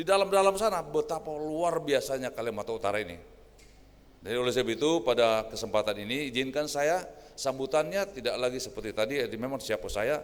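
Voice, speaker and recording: A man's fairly high pitch moves with lively intonation as he speaks at a very fast pace. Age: 60s. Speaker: senior regional government official. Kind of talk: official speech. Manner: informal, conversational.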